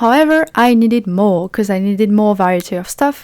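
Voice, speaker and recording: In a French accent, a woman speaks with ordinary pitch variation. The recording is very clean, with a silent background. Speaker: indie game developer. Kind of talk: devlog narration. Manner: casual, with fillers.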